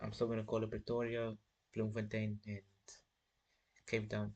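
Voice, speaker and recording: Monotone and flat in intonation, a man with a fairly low pitch speaks at a moderate pace. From South Africa. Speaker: chess streamer. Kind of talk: casual live stream chat while playing chess. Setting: live stream.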